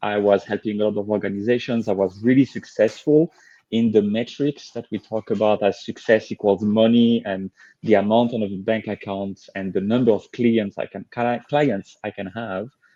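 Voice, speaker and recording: Against a quiet background with a dry, close sound and no echo, a man with a French accent speaks at a moderate pace in a dark, mellow, fairly low voice with fairly even intonation. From France. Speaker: leadership coach. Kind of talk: interview.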